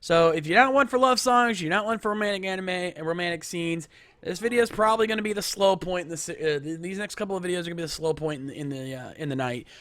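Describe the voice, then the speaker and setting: A man talks at a very fast pace with hardly any pauses, his pitch high for a man. His tone is animated and his intonation lively. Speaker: livestream host. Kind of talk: live stream commentary. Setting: live stream.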